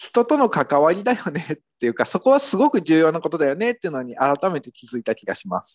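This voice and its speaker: This man's voice sits high and makes very wide pitch swings. The sound is dry and close, with no echo. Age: 40s. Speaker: copywriter and business owner co-host. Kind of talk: casual chat.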